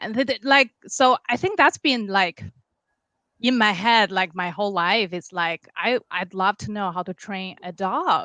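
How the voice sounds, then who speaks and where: A woman speaks in a Chinese accent at a fairly slow pace, with medium pitch and ordinary pitch variation. Her tone is bright and sharp, and the sound is dry and close with no echo. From China, Beijing. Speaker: dog trainer. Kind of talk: interview.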